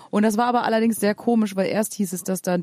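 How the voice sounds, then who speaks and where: A woman speaks with fairly even intonation in a dry, close recording with no echo. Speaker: podcast host, musician. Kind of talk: casual chat. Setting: hotel room. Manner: loud.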